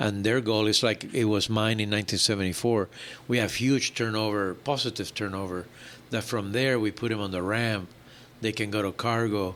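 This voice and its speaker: Fairly low male pitch, monotone and flat, at a moderate pace. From Puerto Rico. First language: Spanish. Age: 70s. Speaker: airline executive. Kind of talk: interview.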